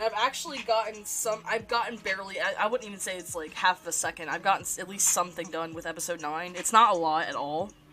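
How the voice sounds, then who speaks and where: A woman speaks very fast with hardly any pauses, in a medium-pitched voice with ordinary pitch variation and big swings in loudness. Noticeable background noise runs under her voice. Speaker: streamer and animator. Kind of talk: casual live stream chat while drawing. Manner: halting, frequent self-corrections. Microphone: problematic mic, repositioned to avoid static.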